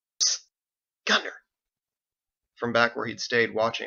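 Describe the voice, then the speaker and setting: Using a put-on character voice, a man sounds raspy at a medium pitch. His delivery moves at a moderate speed. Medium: read story. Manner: irritable, blunt.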